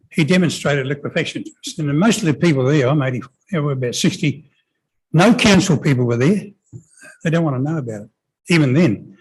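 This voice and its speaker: A man with a New Zealand accent talks at a very fast pace and fairly high pitch, somewhat breathy and with lively intonation, yet leaves long, frequent pauses. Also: big swings in loudness. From New Zealand, New Plymouth. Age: 80s+. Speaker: member of the public at a council hearing. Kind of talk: hearing submission. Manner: halting.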